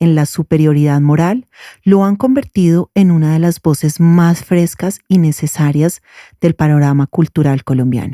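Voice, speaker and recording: A woman's very deep, low, dark and mellow voice at a fairly slow pace, in a dry, close sound with no echo. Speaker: podcast host. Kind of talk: podcast intro and interview question.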